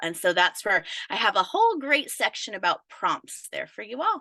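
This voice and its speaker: A woman's high, raised and projected voice sounds animated, with a bright, sharp tone and very wide pitch swings. The recording is dry and close with no echo. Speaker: business coach. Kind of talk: live webinar training. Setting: live stream video call.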